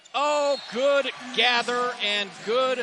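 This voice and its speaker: Over noticeable background noise, a man projects his voice at an extremely high pitch and a very slow pace. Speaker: play-by-play announcer. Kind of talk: live commentary. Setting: arena broadcast.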